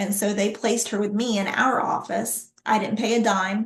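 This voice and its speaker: Somewhat breathy and fairly high in pitch, a woman speaks at a moderate pace with monotone, flat intonation. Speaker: workforce development speaker. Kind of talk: presentation with Q&A.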